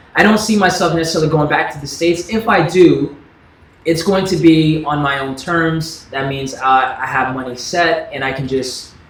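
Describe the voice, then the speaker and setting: Noticeable background noise runs behind a man with an American accent and a fairly high pitch. He talks at a moderate pace with ordinary pitch variation. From US South. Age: 30s. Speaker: YouTuber. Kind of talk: livestream Q&A chat. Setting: livestream. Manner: casual, relaxed.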